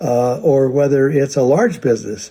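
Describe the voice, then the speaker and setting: Here a man talks at a moderate pace in a fairly high pitch. His tone is dark and mellow. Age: 80s+. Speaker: company founder. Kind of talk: recorded address to a convention. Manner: halting, many fillers.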